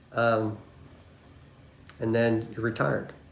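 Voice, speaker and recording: A man speaks at a medium pitch and a fairly slow pace. Audible room echo surrounds his voice. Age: 70s. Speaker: retired client giving testimonial. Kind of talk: testimonial interview. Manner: halting, many fillers and repetitions.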